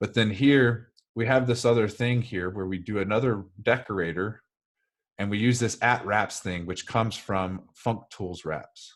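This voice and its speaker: The voice shows ordinary pitch variation. Its pace is moderate. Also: man. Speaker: software developer. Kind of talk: technical talk. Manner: hesitant, many fillers.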